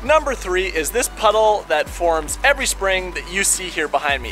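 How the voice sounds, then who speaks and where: A man talks over faint music in the background. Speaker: home renovation vlogger. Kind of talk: casual vlog chat. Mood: wry, mildly annoyed. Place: garden. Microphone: phone near.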